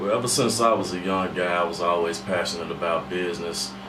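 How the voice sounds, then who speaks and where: A man with a very deep, low pitch, talking at a very fast pace with fairly even intonation over noticeable background noise. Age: young. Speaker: radio host and voice actor. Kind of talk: interview answer.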